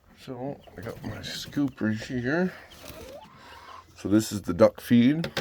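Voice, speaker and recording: Noticeable background noise surrounds a man at medium pitch. His intonation is lively. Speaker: homesteader vlogger. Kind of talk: casual vlog walkthrough.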